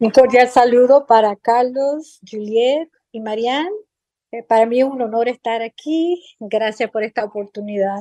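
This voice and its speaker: Her fairly high pitch and dark, mellow tone come through a dry, close sound with no echo as this woman speaks at a fairly slow pace with big swings in loudness. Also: ordinary pitch variation, quiet background. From Chicago, US, and Puerto Rico from age nine. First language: English (speaking Spanish). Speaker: psychotherapist. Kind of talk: interview. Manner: halting, many fillers.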